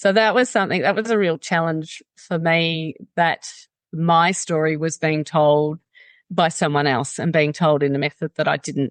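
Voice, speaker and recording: A woman with an Australian accent speaks at a fairly low pitch and a moderate pace, with ordinary pitch variation. The sound is dry and close with no echo, over a quiet background. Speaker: mountaineer and activist. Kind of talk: interview.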